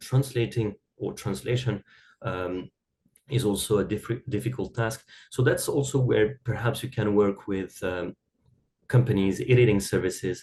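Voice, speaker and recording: A man's somewhat breathy voice, dark and mellow in tone and medium in pitch, moves at a moderate pace with ordinary pitch variation. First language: not English (English is third language). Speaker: academic writing expert. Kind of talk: podcast interview. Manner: halting, many fillers and repeated words.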